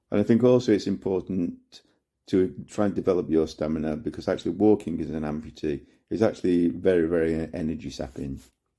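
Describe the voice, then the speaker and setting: With a British accent, a man speaks in a very deep, low voice with a dark, mellow tone. His pace is fairly quick, and his pitch varies in an ordinary way. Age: 60s. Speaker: amputee sharing advice. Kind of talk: testimony.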